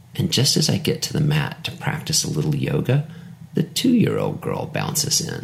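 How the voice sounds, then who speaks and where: Noticeable background noise sits behind a man who speaks at a moderate pace with a fairly high pitch and ordinary pitch variation. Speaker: poet and author. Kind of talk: poem performed, then reflective essay-style reading. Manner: measured, lyrical, contemplative.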